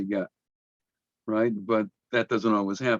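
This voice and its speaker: A man with an American accent, fairly low and monotone, at a moderate pace, dry and close with no echo. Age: 70s. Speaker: rabbi and professor. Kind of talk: lecture. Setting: video call. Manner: halting.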